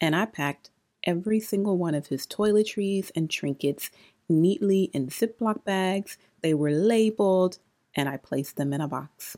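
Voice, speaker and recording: A woman's plain, everyday voice at medium pitch, with lively intonation and a moderate pace. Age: 30s. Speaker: podcast host. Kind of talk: solo podcast monologue.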